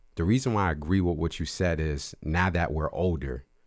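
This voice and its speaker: On a very clean recording with a silent background, the voice carries vocal fry and ordinary pitch variation at a fairly quick pace. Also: man. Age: 30s. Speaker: podcast host. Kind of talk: casual chat.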